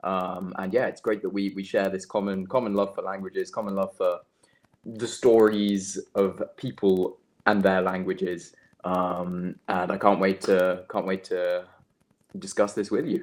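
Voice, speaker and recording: On a very clean recording with a silent background, a man with a British accent speaks at a fairly low pitch and a fairly slow pace, his intonation monotone and flat. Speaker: language content creator. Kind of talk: interview. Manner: hesitant, many fillers and repeats; presenter-like delivery.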